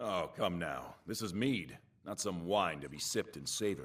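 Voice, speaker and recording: A man puts on a character voice at a fairly low pitch. His intonation is lively and his pace moderate. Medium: video game. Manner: blunt, commanding.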